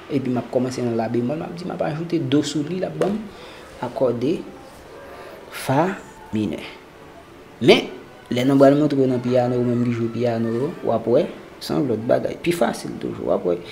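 Long, frequent pauses break up a fairly quick pace. Noticeable background noise is present. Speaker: guitar and music theory teacher. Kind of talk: tutorial.

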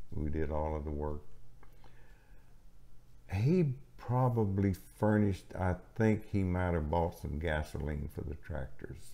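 A man with a Texan accent and a very deep, low pitch speaks in a dark, mellow tone at a fairly slow pace, with lively intonation and long, frequent pauses. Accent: Southern US, Texan. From Gulf Coast of Texas; Texas. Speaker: retired farmer; elderly storyteller. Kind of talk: interview answer. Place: home room.

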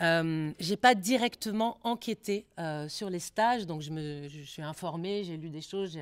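The background is quiet. A woman talks at a fairly slow pace. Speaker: sociologist researcher; speaker. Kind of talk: lecture and Q&A discussion. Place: meeting room. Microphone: podium.

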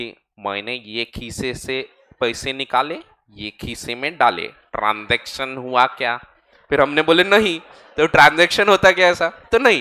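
Speaking very slowly with long, frequent pauses, a man uses lively intonation and a bright, sharp tone, his loudness swinging widely against a quiet background. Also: fairly high pitch for a man. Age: 30s. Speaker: chartered accountant and exam-prep lecturer; exam-prep lecturer. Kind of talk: lecture. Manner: casual, conversational Hinglish. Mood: relaxed, friendly, joking.

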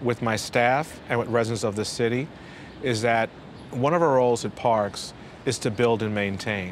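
A man with a New York accent at a moderate pace, dry sound with no echo, and light background noise. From Brooklyn, New York. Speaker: city parks commissioner. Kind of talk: interview. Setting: rooftop garden outdoors. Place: street. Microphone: lapel.

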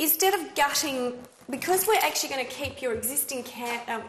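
A high-pitched woman is heard with audible room echo and light background noise. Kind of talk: explaining plans to a client. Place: kitchen.

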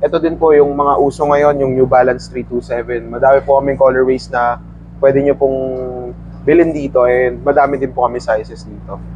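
A man's fairly quick speech, dry sound with no echo, and light background noise. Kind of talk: interview answer. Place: shop. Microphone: lapel.

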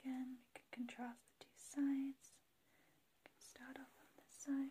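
A soft-spoken woman with a high pitch, fairly slow pace and light background noise. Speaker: ASMR creator. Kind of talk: ASMR soft-spoken product review. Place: home room. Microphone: phone near.

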